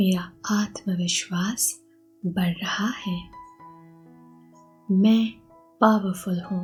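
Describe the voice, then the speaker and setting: A woman's calm, medium-pitched voice with fairly even intonation and long, frequent pauses, with music in the background. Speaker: hypnotherapist and meditation guide. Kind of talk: guided hypnosis affirmation session. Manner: slow, calm.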